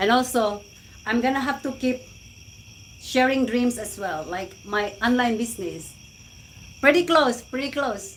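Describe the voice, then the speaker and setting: A woman with a Visayan Filipino accent speaks at a high pitch, fairly slowly, with ordinary pitch variation. She leaves long, frequent pauses. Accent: Filipino (Cebuano) English. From Philippines, Cebu. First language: Cebuano/Filipino. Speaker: live-stream vlogger. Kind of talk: casual live-stream chat. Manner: animated.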